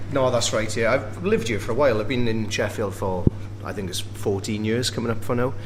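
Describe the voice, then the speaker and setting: Speaking fairly quickly with fairly even intonation, a man's fairly low voice comes through noticeable background noise and audible room echo. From Wales. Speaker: bar owner. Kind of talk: casual chat. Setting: pub.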